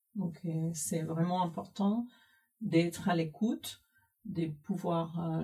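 At a very slow pace, a woman with a Spanish accent speaks in a dark, mellow, somewhat breathy tone at a fairly low pitch with ordinary pitch variation. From Cuba. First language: Spanish (speaking French). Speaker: IT systems manager. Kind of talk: interview.

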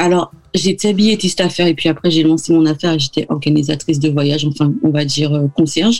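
The delivery moves at a fairly quick pace with hardly any pauses, fairly even intonation and very even loudness. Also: woman, very deep, low pitch for a woman. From Martinique. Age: 30s. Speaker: travel blogger and podcaster. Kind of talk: radio interview. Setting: video call.

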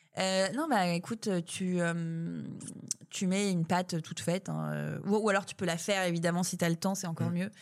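A woman with an unremarkable speaking voice talks at a fairly low pitch and a moderate pace with fairly even intonation. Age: 30s. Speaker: food company founder. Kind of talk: casual interview. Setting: coworking space.

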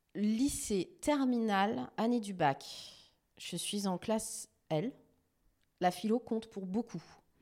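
A woman with a dark, mellow tone and fairly high pitch speaks at a very slow pace with lively intonation and long, frequent pauses, in a very clean recording with a silent background. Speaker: TV journalist and news editor. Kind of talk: interview conversation.

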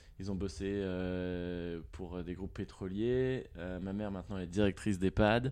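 A man speaks at a very deep, low pitch and a fairly slow pace. His intonation is fairly even, over a quiet background. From France, Nantes. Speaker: product manager. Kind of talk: casual interview.

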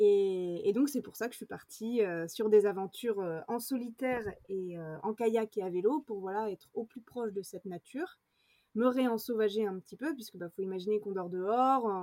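At a moderate pace, a woman speaks in a fairly high pitch with a dark, mellow tone, ordinary pitch variation and big swings in loudness, in a dry, close sound with no echo. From France, rural village. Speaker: adventurer and actress. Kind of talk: interview. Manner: halting, many fillers.

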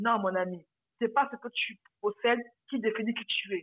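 At a moderate pace, a woman speaks in an unremarkable speaking voice pitched fairly high. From Republic of the Congo. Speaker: personal finance coach. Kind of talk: interview.

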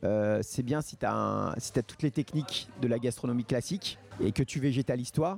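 Music plays behind a man speaking at a fairly slow pace, his voice dry and close with no echo. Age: 40s. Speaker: pastry chef and bakery owner. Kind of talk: casual interview.

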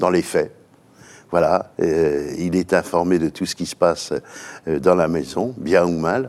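Very deep and low in pitch, this man's voice shows ordinary pitch variation. He talks at a very slow pace with long, frequent pauses. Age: 70s. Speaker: business executive. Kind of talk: interview. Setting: company headquarters. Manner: halting.

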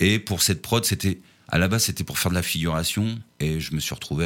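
Recorded very cleanly against a silent background, a man speaks at a moderate pace with vocal fry. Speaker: singer-songwriter. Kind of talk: interview. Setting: studio. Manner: halting.

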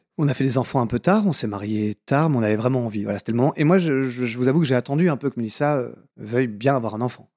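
A man at medium pitch with ordinary pitch variation and a dark, mellow tone, very fast, with a southwestern French accent, in a very clean, silent recording with a dry, close sound and no echo. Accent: southwest French. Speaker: comedian and author. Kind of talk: casual interview.

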